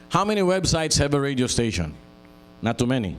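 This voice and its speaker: Very wide pitch swings stand out, with audible room echo around the voice. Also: man. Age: 70s. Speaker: radio station owner. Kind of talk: speech at launch event.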